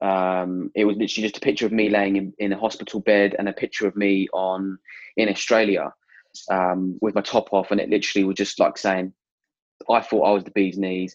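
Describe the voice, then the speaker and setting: A man with a southern English accent, fairly low in pitch, at a fairly quick pace with monotone, flat intonation. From Hertfordshire, England. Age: 20s. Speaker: cancer patient. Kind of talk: interview, personal testimony.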